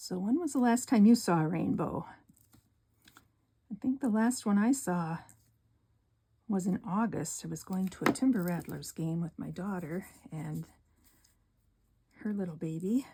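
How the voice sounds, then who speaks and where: A woman with an Upper Midwest US accent speaks in a dark, mellow, somewhat breathy tone. Her intonation is lively, broken by long, frequent pauses. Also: medium pitch for a woman, moderate pace. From northern Wisconsin. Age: 60s. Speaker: card-making crafter. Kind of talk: craft tutorial. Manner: soft-spoken; casual, with fillers.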